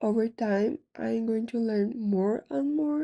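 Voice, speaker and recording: A woman with a non-native accent speaks at a very slow pace, her fairly high voice lively in intonation and dark and mellow in tone, with a dry, close sound with no echo and a quiet background. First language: not English. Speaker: gaming YouTuber. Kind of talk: casual vlog commentary.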